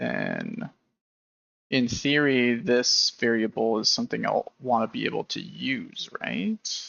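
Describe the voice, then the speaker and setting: The words come out mumbled at a very slow pace. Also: man. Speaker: game engine developer live streamer. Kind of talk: live coding stream commentary. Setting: live stream at computer. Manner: casual, hesitant; mumbling while programming. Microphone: audio cutting out, noise gate clipping quiet speech.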